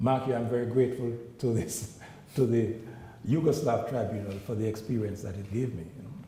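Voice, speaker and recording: Audible room echo surrounds a man's medium-pitched voice with ordinary pitch variation. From Jamaica. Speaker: international judge. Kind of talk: public Q&A talk.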